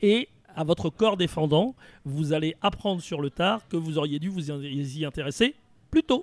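Here a man has an unremarkable speaking voice, pitched fairly high. He speaks at a fairly slow pace with lively intonation. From Paris region, France. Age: 60s. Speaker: retirement planning consultant. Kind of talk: interview conversation.

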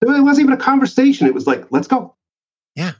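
A man's voice, high in pitch. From Canada. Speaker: sales author and trainer. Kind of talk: casual interview chat.

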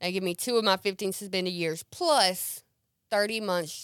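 A woman with an American accent and an ordinary speaking voice speaks at a medium pitch and moderate pace with fairly even intonation, in a very clean recording with a silent background and a dry, close sound with no echo. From US South, central Mississippi. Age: 30s. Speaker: recovering addict. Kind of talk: testimony. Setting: studio.

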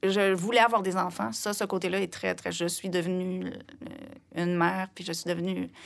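A woman's medium-pitched voice at a moderate pace. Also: ordinary pitch variation, hardly any pauses. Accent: Quebec. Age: 50s. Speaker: singer-songwriter. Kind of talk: interview conversation. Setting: studio.

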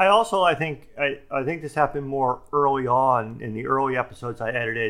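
At a medium pitch with ordinary variation, a man speaks with hardly any pauses. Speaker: podcast co-host. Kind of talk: casual chat. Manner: strongly fluctuating volume; loud, sometimes shouts.

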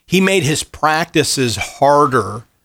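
Fairly high-pitched man's voice with vocal fry and lively intonation, in a very clean recording with a silent background. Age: 40s. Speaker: seminary professor. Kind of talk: casual chat.

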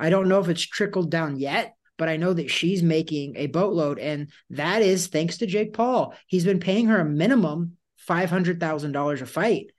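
A man with a high pitch talks in an animated tone. He keeps a moderate pace with ordinary pitch variation. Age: 40s. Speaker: boxing podcast co-host. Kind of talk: casual chat.

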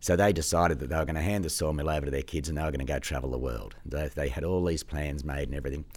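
Here a man with an Australian accent talks very fast in a very deep, low voice with vocal fry. Audible room echo surrounds him. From Australia, Sydney. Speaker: driver education specialist. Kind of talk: casual interview. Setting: studio. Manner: halting.

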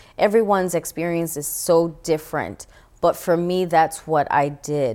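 Heard in a very clean recording with a silent background, a woman with a normal speaking voice and an American accent talks at a fairly slow pace and fairly low pitch, with ordinary pitch variation. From New York City, the Bronx. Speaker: actress and motivational speaker. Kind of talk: testimony. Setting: studio.

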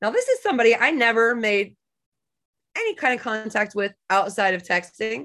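Against a quiet background, a woman speaks loudly at a fairly high pitch with a bright, sharp tone. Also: ordinary pitch variation, moderate pace. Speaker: massage therapist and professional organizer. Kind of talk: casual chat. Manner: bouncy and loud normally.

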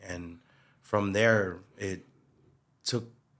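In a Hawaiian accent, a bright, sharp voice speaks in a flat monotone on a very clean recording with a silent background. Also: man. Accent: Hawaiian local English. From Hawaii, Waipahu. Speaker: community figure. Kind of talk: casual chat.

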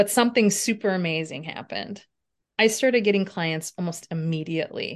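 Over a quiet background, a woman with an unremarkable speaking voice talks at a fairly quick pace. Her pitch is medium, with ordinary pitch variation. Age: 50s. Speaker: personal trainer and healthcare consultant. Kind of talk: interview.

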